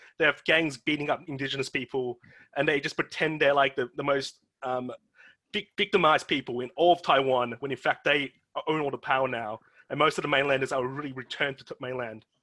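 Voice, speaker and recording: This man has an Australian accent and a fairly high pitch. He talks at a fairly quick pace, and the sound is dry and close with no echo. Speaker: podcast host. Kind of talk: casual chat. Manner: animated.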